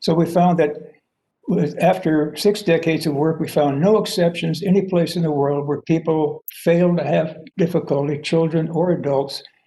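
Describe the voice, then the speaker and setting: Audible room echo surrounds a man with a fairly high pitch. His tone is dark and mellow, and his intonation is fairly even. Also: moderate pace. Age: 80s+. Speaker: professor and theory founder. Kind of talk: lecture. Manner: halting, many fillers.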